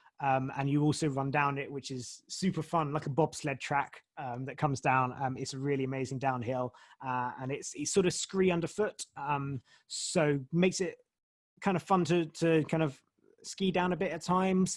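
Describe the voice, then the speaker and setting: Over a quiet background, a man speaks in a fairly high voice with ordinary pitch variation. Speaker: race organiser and company founder. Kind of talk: webinar Q&A. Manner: fast; many filler words.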